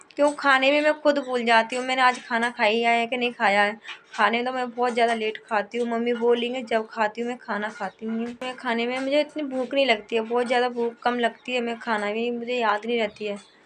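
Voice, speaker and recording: Against noticeable background noise, a woman talks in a high pitch with monotone, flat intonation. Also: moderate pace, hardly any pauses. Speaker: vlogger. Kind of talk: casual vlog talk. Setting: indoors at home.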